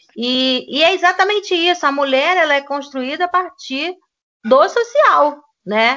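At a fairly slow pace, a woman with a high pitch speaks with lively intonation. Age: 50s. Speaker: history teacher. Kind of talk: casual discussion podcast.

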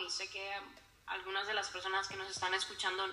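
Amid noticeable background noise and audible room echo, a woman talks at a moderate pace in a medium pitch. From Honduras. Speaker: psychologist. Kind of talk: casual interview.

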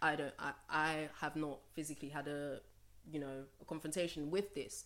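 On a very clean recording with a silent background, a woman speaks at a moderate pace. Her pitch is very deep and low. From Nigeria. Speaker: podcast guest. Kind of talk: casual panel discussion.

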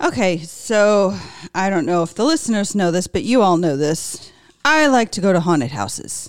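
A woman with an American accent at a medium pitch, her voice swinging very widely in pitch at a moderate pace, on a very clean recording with a silent background. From US West Coast, California. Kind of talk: casual chat.

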